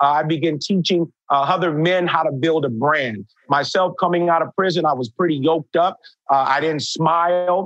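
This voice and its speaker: At a moderate pace, a man speaks in a fairly high pitch with ordinary pitch variation and very even loudness, the sound dry and close with no echo. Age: 50s. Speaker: chef and public speaker. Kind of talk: interview. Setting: video call. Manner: frequent fillers and hesitations.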